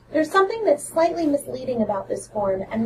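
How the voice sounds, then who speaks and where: A woman speaks with very wide pitch swings. Background noise is noticeable. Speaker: school counselor. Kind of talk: informational podcast. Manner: fast.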